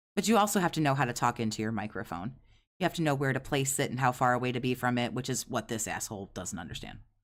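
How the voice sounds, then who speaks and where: Very fast delivery on a very clean recording with a silent background. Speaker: streamer commenting on another streamer. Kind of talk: casual live stream commentary. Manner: loud, voice carries.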